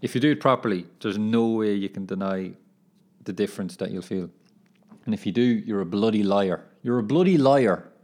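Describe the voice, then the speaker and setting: With an Irish accent, a man talks at a fairly quick pace and a fairly low pitch. His pitch varies in an ordinary way, and the background is quiet. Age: 20s. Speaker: footballer and podcaster. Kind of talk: casual monologue. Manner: animated.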